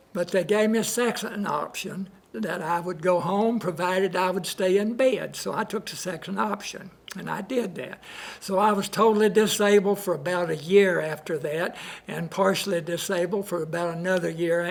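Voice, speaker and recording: Speaking in a Southern US accent at a high pitch, a man keeps a moderate pace and fairly even intonation over noticeable background noise. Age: 80s+. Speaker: patient. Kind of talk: testimony. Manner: halting.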